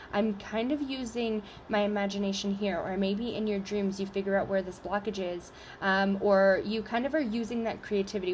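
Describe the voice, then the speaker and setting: A woman talks at a fairly quick pace with a medium pitch. Her voice is somewhat breathy, with fairly even intonation. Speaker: tarot reader. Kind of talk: collective tarot reading to camera. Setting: video recording on camera. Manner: halting, many fillers.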